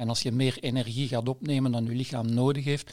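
Recorded very cleanly with a silent background, a man with a plain, everyday voice talks at a fairly quick pace and a medium pitch, with fairly even intonation. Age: 60s. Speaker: nutritionist and epidemiologist, editor. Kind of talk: casual chat.

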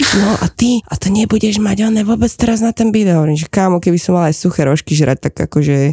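Delivered very fast with hardly any pauses, the speech has lively intonation, very even loudness, and a dry, close sound with no echo. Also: woman, medium pitch for a woman. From Slovakia. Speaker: real estate agent. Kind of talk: casual chat.

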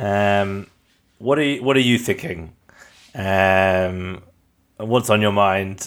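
A man has an ordinary speaking voice, a fairly low pitch and ordinary pitch variation at a moderate pace. The recording is very clean, with a silent background. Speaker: podcast co-host interviewer. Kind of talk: interview questions.

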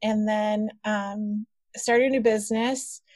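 Somewhat breathy and fairly high-pitched, a woman speaks in a dry, close sound with no echo. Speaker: email marketing business owner. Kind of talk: interview conversation.

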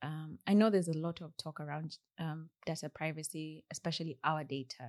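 A woman with a Kenyan accent speaks at a fairly quick pace in a fairly low pitch, with a dry, close sound and no echo. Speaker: software engineer. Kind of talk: casual interview. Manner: soft-spoken.

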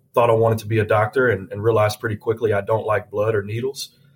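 The pace is very fast as a man talks. He sounds somewhat breathy. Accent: Southern US. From US South, Tennessee (near Nashville). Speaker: healthcare executive. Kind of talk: interview. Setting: studio. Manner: halting, repeats words.

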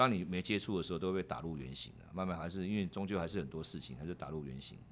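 Speaking very fast with lively intonation, a man with a very deep, low pitch shows vocal fry. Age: 50s. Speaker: securities executive and university lecturer. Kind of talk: interview conversation. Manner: halting, frequent word repetition.

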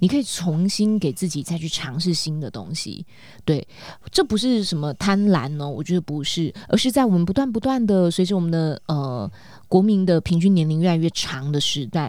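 A woman's dark, mellow voice at a fairly low pitch and moderate pace, with very wide pitch swings, in a very clean recording with a silent background. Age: 40s. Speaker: podcast co-host and life coach. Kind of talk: casual chat. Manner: animated.

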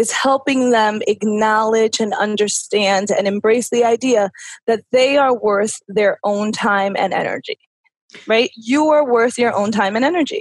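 The sound is dry and close, with no echo. A woman speaks in a fairly high pitch at a fairly slow pace. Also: ordinary pitch variation, very even loudness. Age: 30s. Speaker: personal development coach and author. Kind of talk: interview. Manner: animated.

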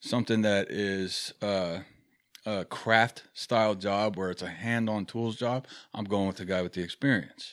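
A normal speaking voice, heard on a very clean recording with a silent background, keeps a moderate pace and fairly even intonation. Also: man. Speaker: safety professional guest. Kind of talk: casual debate discussion. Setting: studio.

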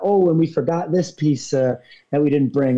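A man speaks with a slight New York accent. His tone is dark and mellow. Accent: faint New York. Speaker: thru hiker and hiking guide. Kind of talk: casual interview. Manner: animated, gregarious.

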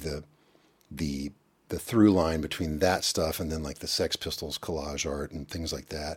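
Here, a man speaks with an American accent in a very clean recording with a silent background. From Kentucky, US. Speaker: musician and visual artist. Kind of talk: casual interview conversation.

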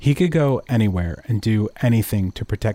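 The reading aloud is plain. Its intonation is lively.

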